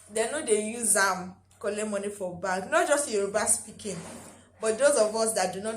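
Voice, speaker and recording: A woman with a Nigerian accent speaks at medium pitch and a fairly quick pace. Noticeable background noise and audible room echo surround her voice. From Nigeria (Lagos, Ogun State). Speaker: lifestyle vlogger. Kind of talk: casual vlog talk.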